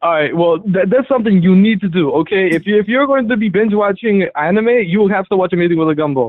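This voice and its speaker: At a very fast pace with hardly any pauses, the speaker keeps loudness very even and pitch variation ordinary. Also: man, high pitch for a man. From Yemen. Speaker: caller. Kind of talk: casual chat. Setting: phone call. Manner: halting.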